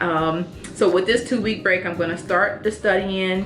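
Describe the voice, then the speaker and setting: With music in the background and audible room echo, a woman talks at a moderate pace in a medium pitch, varying it in an ordinary way. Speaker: nurse practitioner student vlogger. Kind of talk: casual vlog update.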